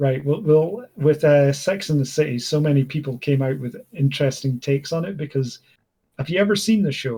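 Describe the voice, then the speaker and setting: A man talks in a fairly high, somewhat breathy voice with a dark, mellow tone and ordinary pitch variation. The recording is very clean, with a silent background. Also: fairly quick pace. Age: 20s. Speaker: gaming streamer. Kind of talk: casual chat. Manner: halting, many fillers.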